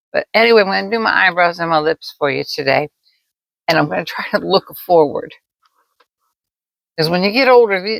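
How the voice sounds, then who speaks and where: Vocal fry runs through a woman's fairly quick speech, which has very wide pitch swings. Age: 70s. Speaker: makeup tutorial creator. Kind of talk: casual talk to camera, makeup tutorial.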